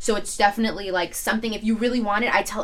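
Over noticeable background noise, a woman with a New York accent talks at a very fast pace and a medium pitch. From New York, Staten Island. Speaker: social media influencer. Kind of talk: casual chat.

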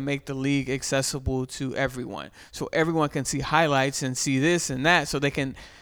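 Speaking at a fairly quick pace with hardly any pauses, a man with a normal speaking voice keeps a fairly high pitch. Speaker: podcast host. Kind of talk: casual chat.

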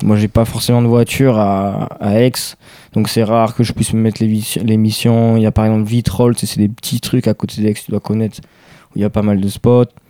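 Speaking at a fairly quick pace, a man with a fairly low pitch delivers his words in a flat monotone, recorded with a dry, close sound and no echo. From Aix-en-Provence, southern France (childhood partly Barcelona). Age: young. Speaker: skateboarder. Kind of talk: casual chat.

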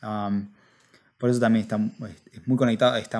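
A man talks with a Rioplatense accent. His pace is fairly quick. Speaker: podcast co-host. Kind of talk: casual chat.

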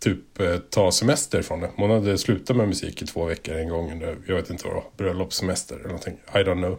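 A man speaks with a very deep, low voice and ordinary pitch variation. The recording is very clean, with a silent background. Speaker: podcast host. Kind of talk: casual chat. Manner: joking, playful.

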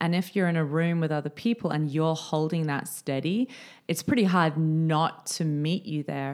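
Spoken at a moderate pace with ordinary pitch variation in an Australian accent, the voice comes through on a very clean recording with a silent background. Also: woman. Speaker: podcast co-host. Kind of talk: casual chat. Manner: animated.

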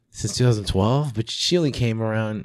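Over a silent background in a very clean recording, a man with an ordinary speaking voice talks at a moderate pace, his fairly low pitch showing ordinary pitch variation. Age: 30s. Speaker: magician. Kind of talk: casual chat.

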